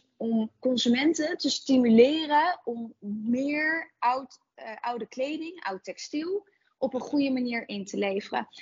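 Her voice high-pitched and her intonation lively, a woman speaks at a fairly slow pace. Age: 20s. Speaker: entrepreneur, founder of a clothing recycling service. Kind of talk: interview.

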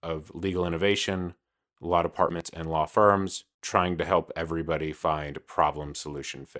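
With a Californian accent, a man speaks in a very deep, low pitch and a monotone, flat intonation, the sound dry and close with no echo. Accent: American, Californian. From Los Angeles, California. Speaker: legal industry executive, former lawyer. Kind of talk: casual interview conversation. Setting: virtual studio, video call.

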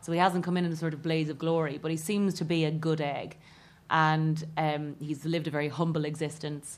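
Talking at a fairly quick pace in an Irish accent, a woman with a very deep, low pitch keeps a monotone, flat intonation. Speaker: comedian. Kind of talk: comedy panel discussion. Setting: stage with live audience.

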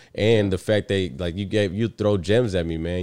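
A man talks at a very fast pace. His pitch is very deep and low. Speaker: podcast host. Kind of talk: casual chat. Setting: late-night home recording. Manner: loud when excited.

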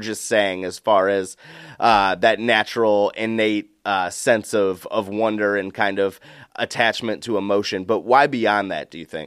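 A plain, everyday voice speaks at a fairly slow pace. The recording is very clean with a silent background. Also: man. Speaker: podcast host. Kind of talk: podcast interview.

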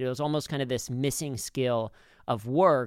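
Talking at a very fast pace, a man with an American accent uses a medium pitch and ordinary pitch variation. The recording is very clean, with a silent background. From US Midwest, Cincinnati. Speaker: humor trainer and speaker. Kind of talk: interview.

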